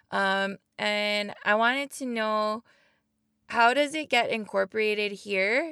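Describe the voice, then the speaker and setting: Bright and sharp in tone, a woman speaks at a very slow pace with a fairly high pitch and ordinary pitch variation. The recording is very clean, with a silent background and a dry, close sound with no echo. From Hawaii (Oahu). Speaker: podcast host. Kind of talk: casual interview. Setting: outdoor protest camp.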